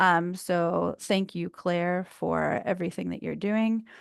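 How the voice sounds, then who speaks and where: A woman is speaking. The background is quiet. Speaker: committee member presenting policy updates. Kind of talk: online meeting presentation.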